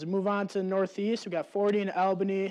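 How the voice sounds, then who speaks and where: In a quiet background, a man with a high voice talks at a fairly quick pace. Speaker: student weather presenter. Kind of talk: weather forecast. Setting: studio. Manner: halting.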